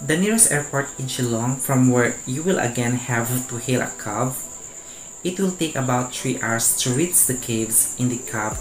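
Noticeable background noise sits under a man talking at a moderate pace with ordinary pitch variation. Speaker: review vlogger. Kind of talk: informative vlog narration. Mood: friendly, smiling. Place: home room. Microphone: lapel.

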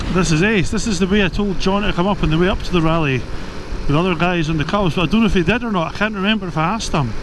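A man's very fast, high-pitched speech with hardly any pauses and ordinary pitch variation, in audible room echo with noticeable background noise. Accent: Scottish. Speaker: motorcycle vlogger. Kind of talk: casual monologue. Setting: outdoors on a motorbike.

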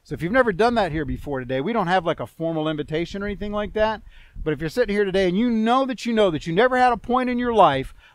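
A man's lively intonation, with dry sound, no echo and a quiet background. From US South. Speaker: pastor. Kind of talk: sermon. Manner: halting. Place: open country. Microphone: headset.

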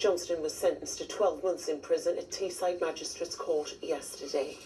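A woman talks at a moderate pace, with light background noise present. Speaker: regional TV newsreader. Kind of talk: regional TV news bulletin reading from autocue. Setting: TV news studio. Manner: crisp, measured and formal; warm, friendly sign-off. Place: studio.

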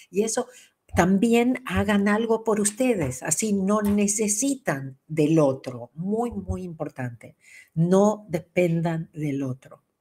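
Very slow and somewhat breathy, a woman's dark, mellow voice moves through very wide pitch swings. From Argentina. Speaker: spiritual teacher. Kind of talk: livestream talk. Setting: livestream. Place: home room.

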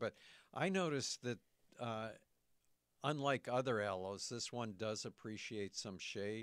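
A man with an American accent speaks in a normal speaking voice at a medium pitch with ordinary pitch variation, recorded very cleanly against a silent background. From Michigan. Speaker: radio co-host, horticulture author. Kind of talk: radio talk show. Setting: radio studio.

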